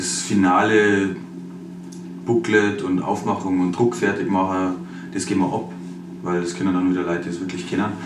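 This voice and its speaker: Monotone, flat intonation at a moderate pace against noticeable background noise. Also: man. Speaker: rapper. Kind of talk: interview answer.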